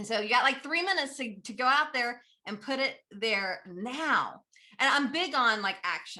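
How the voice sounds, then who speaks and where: High-pitched and energetic, a woman talks in a bright, sharp tone with lively intonation. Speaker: business trainer and speaker. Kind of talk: conference talk. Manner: fast.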